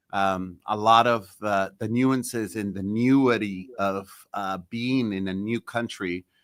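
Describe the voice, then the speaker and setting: On a very clean recording with a silent background, a man speaks with a Spanish accent. His fairly low voice moves at a fairly slow pace with fairly even intonation. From El Salvador, raised in South San Francisco. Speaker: mayor. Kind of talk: podcast interview. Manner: halting, many fillers and repetitions.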